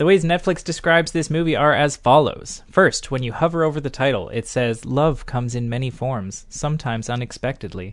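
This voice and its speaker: A man speaks in a normal speaking voice, fairly high in pitch with ordinary pitch variation. His pace is fairly quick, with hardly any pauses. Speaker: podcast host. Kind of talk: casual podcast chat about movies.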